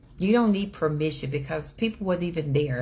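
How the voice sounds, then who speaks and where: Speaking in an animated tone, a woman has a very deep, low pitch. Her intonation is lively, with vocal fry. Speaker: inspirational speaker. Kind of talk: inspirational talk. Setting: livestream. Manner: loud.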